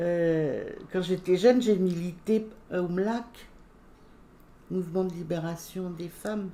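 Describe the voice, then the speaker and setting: A woman's fairly low, dark, mellow voice at a very slow pace, with fairly even intonation and long, frequent pauses. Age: 70s. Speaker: retired accountant, former feminist activist. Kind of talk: casual interview. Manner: halting, many hesitations.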